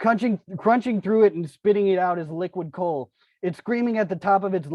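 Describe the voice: The speech is plain reading aloud with ordinary pitch variation. The background is quiet.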